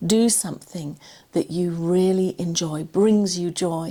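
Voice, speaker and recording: Speaking at a fairly slow pace, a woman with an English accent has a dark, mellow tone and ordinary pitch variation. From England. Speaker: cancer survivor and confidence coach. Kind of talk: personal talk to camera.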